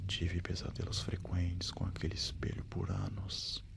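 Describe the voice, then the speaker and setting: A man speaks at a fairly slow pace in a very deep, low voice that is somewhat breathy, with a flat, monotone delivery. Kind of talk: horror story narration. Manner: soft-spoken.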